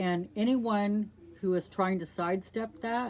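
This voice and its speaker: Fairly slow speech from a woman, her pitch varying in an ordinary way. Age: 60s. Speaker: video blogger, abuse survivor. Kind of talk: personal testimony monologue. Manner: earnest, emphatic.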